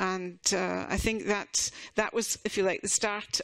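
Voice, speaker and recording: A woman's flat, monotone voice with a Scottish accent at medium pitch, in a very clean recording with a silent background. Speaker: university association representative. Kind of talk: conference presentation. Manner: halting, many fillers and restarts.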